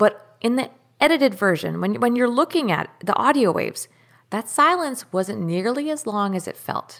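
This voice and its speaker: With a Canadian accent, a woman talks with very wide swings in pitch. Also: moderate pace. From Surrey, British Columbia, Canada. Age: 30s. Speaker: professional angler and entrepreneur. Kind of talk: casual interview chat. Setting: video call.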